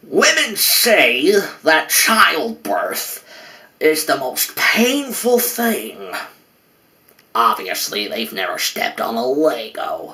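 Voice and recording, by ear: This man puts on a character voice pitched high. He talks at a very slow pace, with long pauses coming often.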